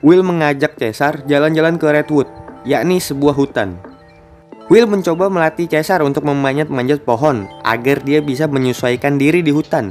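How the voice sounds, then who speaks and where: With music in the background, a man's fairly high-pitched voice holds very even loudness and ordinary pitch variation. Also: moderate pace. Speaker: film recap narrator. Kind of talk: movie recap narration. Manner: joking, casual.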